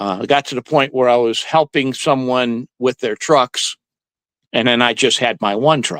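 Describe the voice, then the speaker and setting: A man speaks in a plain, everyday voice, medium in pitch, at a moderate pace with ordinary pitch variation. The sound is dry and close, with no echo. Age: 60s. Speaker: ice cream truck driver. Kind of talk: interview.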